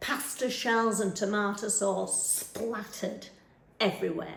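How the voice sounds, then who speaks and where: A woman's medium-pitched voice with a northern English accent and vocal fry, at a fairly slow pace with fairly even intonation. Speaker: stage actor performing a monologue. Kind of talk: theatre monologue. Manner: conversational, chatty, wry.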